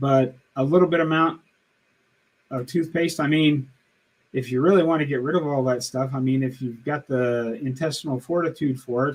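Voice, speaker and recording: An unremarkable speaking voice from a man, pitched fairly high, moderately paced and fairly even in intonation. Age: 60s. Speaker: diet channel host. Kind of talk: live stream Q&A. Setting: live stream. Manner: casual, conversational.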